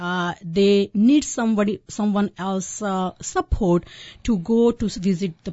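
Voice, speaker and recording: A woman's medium-pitched voice comes across as somewhat breathy. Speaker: physician and home care company CEO. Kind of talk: radio interview. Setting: radio studio.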